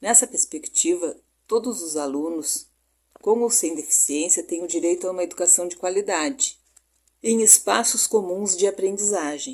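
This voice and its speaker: Lively, medium-pitched female speech at a moderate pace. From southern Brazil, Rio Grande do Sul. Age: 60s. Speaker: pedagogy student. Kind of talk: recorded class presentation. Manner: hesitant, with fillers like né.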